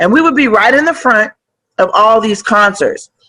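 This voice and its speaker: With an American accent, a woman talks at a moderate pace in a bright, sharp, animated tone, her intonation lively. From San Francisco Bay Area, California. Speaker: rapper. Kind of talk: casual interview. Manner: loud.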